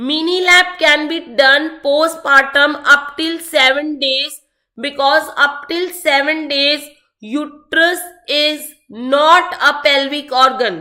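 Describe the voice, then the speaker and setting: A woman speaks in a bright, sharp tone with a high pitch, her voice raised and projected. She talks very slowly with fairly even intonation, and audible room echo surrounds her. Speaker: medical exam tutor. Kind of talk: online lecture.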